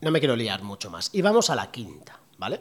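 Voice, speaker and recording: A man's medium-pitched voice at a fairly slow pace, with very wide pitch swings. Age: 40s. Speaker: podcast host and entrepreneur. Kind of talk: solo podcast talk. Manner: casual with many fillers.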